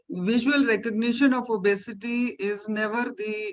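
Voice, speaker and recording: A woman with an Indian accent, fairly high in pitch, with ordinary pitch variation. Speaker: doctor. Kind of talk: webinar panel answer. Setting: video call. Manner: formal.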